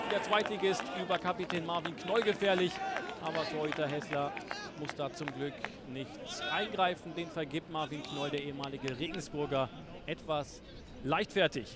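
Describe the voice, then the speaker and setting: Over noticeable background noise, a man with an animated, upbeat tone and fairly high pitch speaks at a moderate pace with ordinary pitch variation and long, frequent pauses. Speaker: football commentator. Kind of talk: live-style football match commentary over highlights, recapping chances and goals. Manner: animated, urgent bursts on chances ("Tempo! Tempo!"), otherwise fluent and upbeat.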